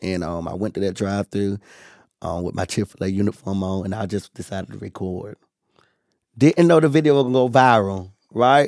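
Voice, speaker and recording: A man with a normal speaking voice uses a fairly low pitch and lively intonation. The sound is dry and close with no echo, on a very clean recording with a silent background. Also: fairly quick pace. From North Carolina. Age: 20s. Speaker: food reviewer and social media creator. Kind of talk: casual interview chat.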